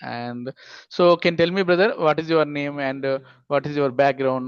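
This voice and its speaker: Over a quiet background, a man with an unremarkable speaking voice talks at a fairly high pitch with fairly even intonation. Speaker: English teacher, YouTube host. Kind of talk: interview questions.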